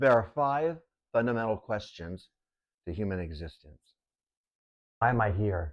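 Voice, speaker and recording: Against a quiet background, a man with an American accent and a fairly low voice speaks at a moderate pace. His intonation is lively, with long, frequent pauses. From Texas. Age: 60s. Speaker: painter, muralist. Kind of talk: documentary narration.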